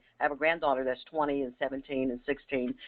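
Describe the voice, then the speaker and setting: The woman's voice is very deep and low. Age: 60s. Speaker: re-entry program director. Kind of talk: webinar presentation. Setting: webinar.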